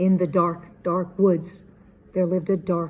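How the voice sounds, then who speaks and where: A put-on character voice at a middle pitch, monotone and flat, at a fairly slow pace. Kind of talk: spooky storytelling.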